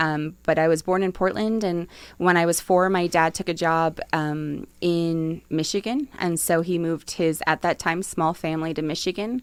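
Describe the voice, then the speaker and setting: With an American accent, a woman has an unremarkable speaking voice, fairly low in pitch, with fairly even intonation and hardly any pauses, in a very clean recording with a silent background. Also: moderate pace. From New Jersey. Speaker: city economic development official. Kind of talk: podcast interview. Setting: studio.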